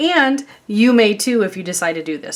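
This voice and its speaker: A woman talks with a slight Chicago accent. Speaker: craft YouTuber. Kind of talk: tutorial. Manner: casual, chatty with many fillers.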